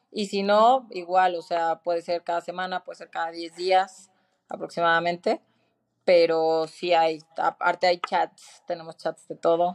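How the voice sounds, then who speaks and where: Recorded with a dry, close sound and no echo, a woman with an unremarkable speaking voice and a fairly low pitch talks at a fairly slow pace, with big swings in loudness. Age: 40s. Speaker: fitness studio founder. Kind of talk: interview.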